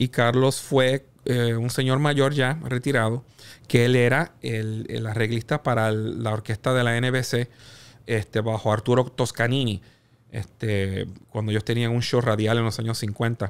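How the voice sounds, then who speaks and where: This man has a plain, everyday voice at a medium pitch. He talks at a fairly slow pace with fairly even intonation. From Puerto Rico. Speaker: music executive and producer; podcast guest. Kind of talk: interview conversation. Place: studio. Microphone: studio mic.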